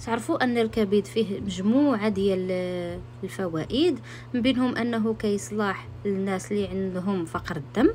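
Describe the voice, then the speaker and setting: A somewhat breathy voice with a Moroccan accent, at a fairly slow pace, with very wide pitch swings. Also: woman, medium pitch for a woman. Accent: Moroccan Arabic (Darija). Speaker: home cook, cooking channel host. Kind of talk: cooking tutorial voiceover. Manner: hesitant, frequent restarts.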